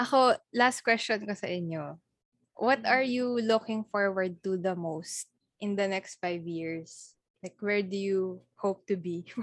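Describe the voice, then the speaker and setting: A woman with an unremarkable speaking voice talks fairly slowly at a medium pitch with ordinary pitch variation. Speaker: podcast co-host. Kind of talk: casual chat.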